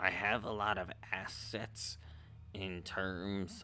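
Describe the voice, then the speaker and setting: A man uses a put-on character voice with a timid tone. He speaks at a very slow pace over clear background noise. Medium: actual play. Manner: timid, hesitant.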